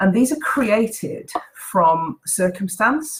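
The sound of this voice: A woman speaks at a very slow pace in a medium pitch with lively intonation. Her voice is croaky, with a slightly husky edge.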